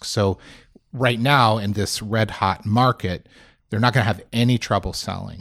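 A man speaks at a moderate pace in a fairly low pitch with fairly even intonation, in an ordinary speaking voice, on a very clean recording with a silent background. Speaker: senior living professional. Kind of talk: interview conversation.

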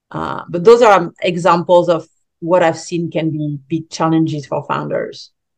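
A woman with a French accent talks at a moderate pace in a fairly low pitch, her intonation fairly even. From France. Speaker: business coach. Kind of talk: interview. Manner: halting, many fillers.

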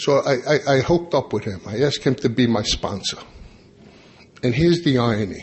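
Speaking with an American accent, a man uses a medium pitch and a somewhat breathy voice. He moves at a fairly quick pace with lively intonation, yet takes long, frequent pauses. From New York, Long Island. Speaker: AA convention speaker. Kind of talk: conference talk to audience.

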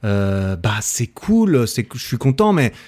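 With very wide pitch swings, a man speaks in an animated tone on a very clean recording with a silent background. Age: 30s. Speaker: podcast host. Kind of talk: casual interview.

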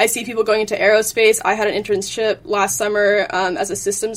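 In a plain, everyday voice, a woman talks at a fairly quick pace and a fairly high pitch, with ordinary pitch variation. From Virginia, US. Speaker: engineering student. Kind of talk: interview.

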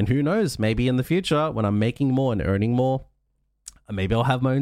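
In a plain, everyday voice, a man at medium pitch speaks with ordinary pitch variation on a very clean recording with a silent background. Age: 30s. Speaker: podcast host and streamer. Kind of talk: solo motivational monologue. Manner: casual, conversational.

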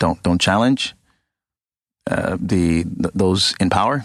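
Vocal fry at a moderate pace, in a dry, close sound with no echo. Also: man. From Ghana. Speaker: think tank program director. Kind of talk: podcast interview. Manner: hesitant, many fillers.

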